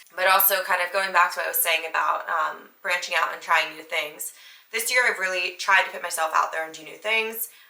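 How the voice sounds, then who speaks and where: A woman with an American accent speaks at a fairly quick pace and medium pitch, with big swings in loudness. Noticeable background noise runs underneath. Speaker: podcast host. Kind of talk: casual monologue. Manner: animated.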